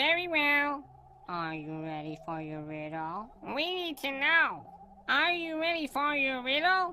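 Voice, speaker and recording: In a put-on character voice, a female-sounding speaker talks fairly slowly at a high pitch over clear background noise. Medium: audio drama. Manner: repetitive, each line echoed.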